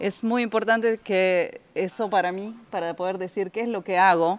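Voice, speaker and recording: Speaking at a fairly slow pace, a woman uses a medium pitch. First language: Spanish (speaking French). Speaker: trade union official. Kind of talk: panel talk at a ceremony.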